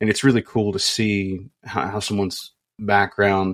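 Against a quiet background, a man speaks at a fairly low pitch with a monotone, flat intonation. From Kentucky. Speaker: podcast co-host. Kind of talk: casual interview chat.

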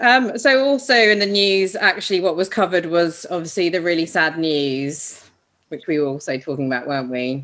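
A woman with a British accent speaks at a moderate pace in a fairly low voice. Her pitch swings very widely against a quiet background. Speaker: podcast co-host. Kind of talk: casual chat.

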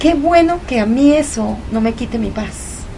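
A woman speaks over noticeable background noise. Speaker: guest, leukemia survivor. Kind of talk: reflective conversation. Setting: home.

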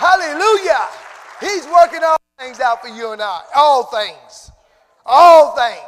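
Over crowd noise in the background, a man talks at a very slow pace in an extremely high pitch, with lively intonation and big swings in loudness. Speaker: preacher. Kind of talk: sermon. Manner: animated.

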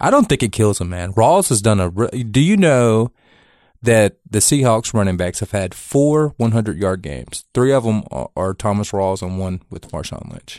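This man has a normal speaking voice, a fairly low pitch and lively intonation, with big swings in loudness. He keeps a moderate pace on a very clean recording with a silent background. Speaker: co-host, best friend. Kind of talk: casual sports talk.

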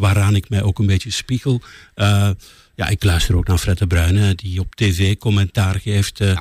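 A man speaks at a moderate pace with a fairly low pitch, a somewhat breathy sound, and monotone, flat intonation at very even loudness. The recording is very clean with a silent background and a dry, close sound with no echo. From West Flanders, Belgium. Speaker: political radio journalist. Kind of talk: casual interview.

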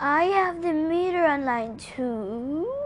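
Using a put-on character voice, a woman speaks in a high pitch at a very slow pace. Clear background noise runs underneath.

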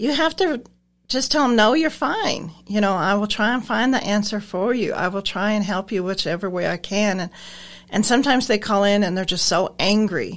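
A woman speaks with an American accent at a medium pitch, with ordinary pitch variation. She has a plain, everyday voice. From Nebraska. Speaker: transportation driver and receptionist. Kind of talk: casual interview.

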